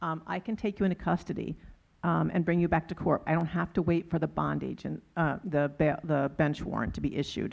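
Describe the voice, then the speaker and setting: Woman's very deep, low voice with vocal fry and fairly even intonation against a quiet background. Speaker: criminal justice nonprofit leader, panelist. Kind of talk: panel discussion. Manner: fast; hesitant, many fillers.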